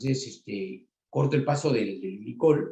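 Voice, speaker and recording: With lively intonation, a man speaks in a dark, mellow tone that is somewhat breathy. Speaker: refrigeration engineer and instructor. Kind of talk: technical lecture. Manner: many filler words and hesitations.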